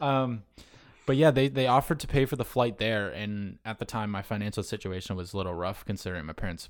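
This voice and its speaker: Over a very clean recording with a silent background, an unremarkable speaking voice with an American accent talks at a fairly quick pace with ordinary pitch variation. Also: man. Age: 20s. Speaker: podcaster. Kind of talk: casual chat.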